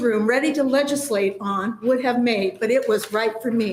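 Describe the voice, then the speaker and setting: A high-pitched woman's voice with an American accent and lively intonation. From rural Nebraska. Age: 60s. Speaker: public hearing testifier. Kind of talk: testimony.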